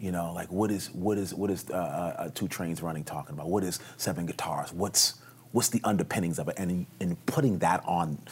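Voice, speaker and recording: A man with a New York accent talks at a fairly quick pace with hardly any pauses. His pitch is very deep and low, with ordinary variation. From New York City, the Bronx. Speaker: actor. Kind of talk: casual interview. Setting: hotel, filmed for television.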